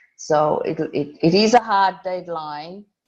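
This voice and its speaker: Someone with a non-native accent speaks at a very slow pace with ordinary pitch variation. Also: woman. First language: not English. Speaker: lawyer. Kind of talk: online workshop. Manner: blunt, direct; halting, many restarts.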